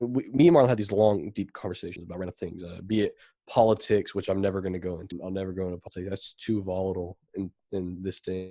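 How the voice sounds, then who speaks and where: A man speaks at a very fast pace in a dark, mellow tone. The recording is very clean, with a silent background. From Florida. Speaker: construction worker. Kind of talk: casual chat. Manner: halting.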